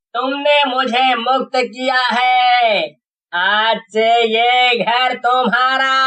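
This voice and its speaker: This is a cartoonish character voice with a fairly high pitch. It moves at a very slow pace. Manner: menacing.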